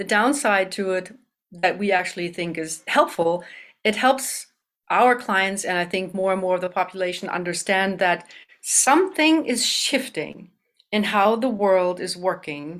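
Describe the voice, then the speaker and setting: On a very clean recording with a silent background, a woman with a German accent speaks at a fairly slow pace, her medium pitch showing ordinary variation. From Germany. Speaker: business consultant and CEO. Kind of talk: interview about business.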